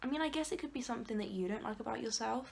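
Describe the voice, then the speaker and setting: A woman speaks with an English accent. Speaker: vlogger. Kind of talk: casual chat. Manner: loud; animated.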